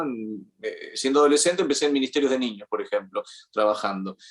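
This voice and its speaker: This man speaks at a fairly quick pace in a medium pitch with a plain, everyday voice. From Argentina. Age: 50s. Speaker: journalist. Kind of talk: interview conversation. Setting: podcast interview.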